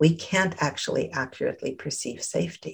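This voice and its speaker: A woman speaks with vocal fry. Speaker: therapist and guide. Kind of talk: guided meditation. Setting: video call. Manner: soft-spoken, soothing.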